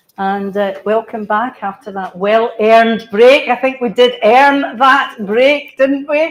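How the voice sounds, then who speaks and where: Talking at a very slow pace with hardly any pauses, a woman uses a fairly high pitch and ordinary pitch variation over noticeable background noise. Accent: Scottish. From Scotland. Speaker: cultural planner. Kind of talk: conference talk.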